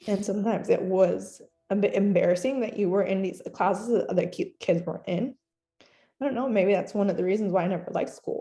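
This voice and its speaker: A somewhat breathy woman's voice at medium pitch, very fast, with fairly even intonation and a dark, mellow tone. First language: Spanish. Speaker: older sibling of the student, interviewee. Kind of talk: casual family conversation, interview. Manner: hesitant, halting.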